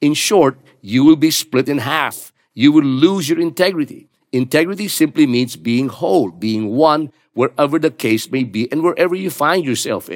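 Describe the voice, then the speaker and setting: A plain, everyday voice at a moderate pace. The intonation is lively. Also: man, fairly high pitch for a man. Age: 60s. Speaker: pastor. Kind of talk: sermon.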